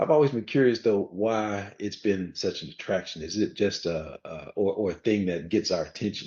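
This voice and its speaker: At a moderate pace, the talking runs on with hardly any pauses and shows ordinary pitch variation. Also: man, fairly low pitch for a man. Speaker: podcast co-host. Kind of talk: casual chat.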